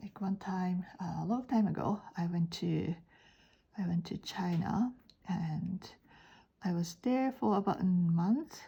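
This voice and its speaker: Her voice is dark, mellow and somewhat breathy, with a medium pitch and a Japanese accent. The woman talks at a fairly slow pace, with long, frequent pauses. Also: ordinary pitch variation. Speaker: art teacher. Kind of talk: drawing tutorial. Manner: halting.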